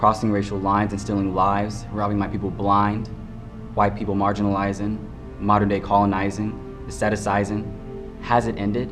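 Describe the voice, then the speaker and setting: With music in the background, a man speaks at a moderate pace in a fairly low voice with fairly even intonation. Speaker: spoken word poet. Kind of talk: spoken word poetry performance.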